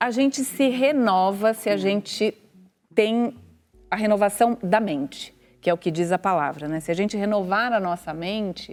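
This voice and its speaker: The voice is an unremarkable speaking voice with lively intonation. It moves at a moderate pace. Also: woman, medium pitch for a woman. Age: 50s. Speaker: TV journalist. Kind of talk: casual chat.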